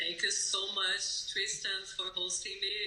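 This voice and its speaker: Someone with a Brazilian Portuguese accent speaks at a fairly slow pace, with audible room echo and noticeable background noise. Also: woman. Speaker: yoga teacher. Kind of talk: podcast interview. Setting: remote call.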